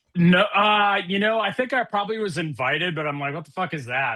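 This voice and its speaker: A man speaks in a plain, everyday voice with an American accent. His intonation is lively and his pace is moderate. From Minnesota, US Midwest. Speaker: podcast guest, video game player. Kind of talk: casual chat.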